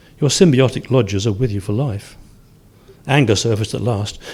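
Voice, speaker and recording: Somewhat breathy and medium in pitch, a man speaks with lively intonation. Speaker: short story writer. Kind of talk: reading aloud. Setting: stage with audience. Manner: occasional stutters and stumbles.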